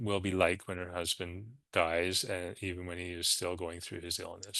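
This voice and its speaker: Against a quiet background, a man talks in a bright, sharp tone. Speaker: hospice program director. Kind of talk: webinar presentation. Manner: fast.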